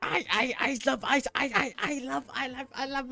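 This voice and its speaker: A female-sounding voice puts on a character voice with a high pitch. The pace is moderate. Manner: crazed, stuttering.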